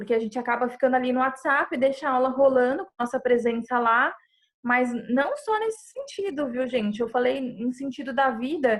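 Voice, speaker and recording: A woman's high voice, with ordinary pitch variation, moves at a moderate pace. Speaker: psychologist giving a talk. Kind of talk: online presentation with live chat.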